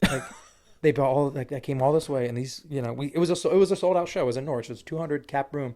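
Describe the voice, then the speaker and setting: At a very fast pace, a man with a dark, mellow tone and a fairly high pitch talks with ordinary pitch variation. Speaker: country music singer. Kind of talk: casual chat. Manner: high energy.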